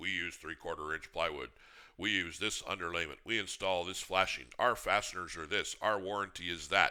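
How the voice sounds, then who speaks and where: A man speaks at a moderate pace in a put-on character voice pitched very deep and low. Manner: mocking, monotone rattling off specs.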